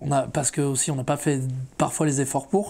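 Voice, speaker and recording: Recorded very cleanly over a silent background, a man speaks in a dark, mellow tone. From France, Mayenne (Château-Gontier). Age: 20s. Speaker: rapper. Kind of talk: interview. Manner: casual, hesitant with many fillers.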